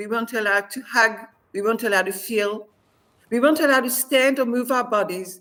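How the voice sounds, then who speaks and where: A woman speaks with fairly even intonation. Her pitch sits fairly high. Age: 60s. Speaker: former hostage. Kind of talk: interview testimony.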